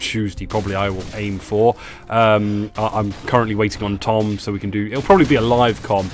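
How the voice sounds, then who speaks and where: A man with an English accent at a fairly quick pace, monotone and flat, amid noticeable background noise. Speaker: gaming YouTuber. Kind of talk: gameplay commentary. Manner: halting, many fillers.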